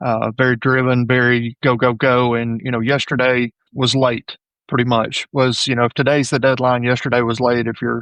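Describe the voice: A man's medium-pitched, fairly bright voice at a moderate pace with little pitch movement, the sound dry and close with no echo.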